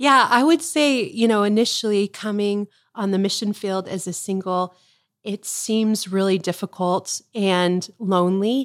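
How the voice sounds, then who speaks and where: A woman with an unremarkable speaking voice and an American accent talks at medium pitch and a moderate pace with ordinary pitch variation, in a dry, close sound with no echo and a very clean recording with a silent background. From US, Tucson, Arizona. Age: 40s. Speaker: missionary. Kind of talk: casual interview chat. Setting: in person at her childhood home.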